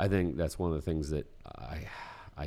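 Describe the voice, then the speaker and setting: The tone is dark and mellow. The pace is fairly slow. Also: man. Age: 40s. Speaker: educator and entrepreneurship guest. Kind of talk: casual chat. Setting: studio.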